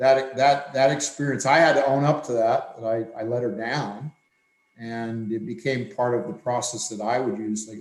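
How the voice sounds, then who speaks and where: A man speaks in a plain, everyday voice at medium pitch and a moderate pace, with ordinary pitch variation and big swings in loudness. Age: 60s. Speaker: swimming coach. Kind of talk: podcast discussion.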